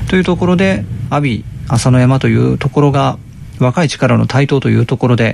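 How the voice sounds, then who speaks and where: The speech moves at a moderate pace with very even loudness. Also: man. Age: middle-aged. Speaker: podcast host. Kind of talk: casual chat.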